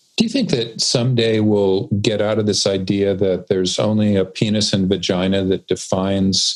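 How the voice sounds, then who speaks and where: Against noticeable background noise, a man with a fairly low pitch speaks in a monotone, flat intonation at a very even loudness, hardly pausing. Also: moderate pace. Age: 60s. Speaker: expert guest on purpose. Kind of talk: interview conversation.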